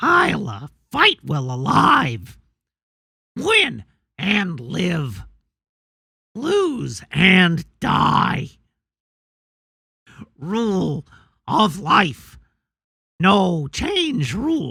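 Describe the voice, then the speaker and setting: Using a put-on character voice at a middle pitch, the speaker goes at a very slow pace with long, frequent pauses. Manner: gruff, declarative.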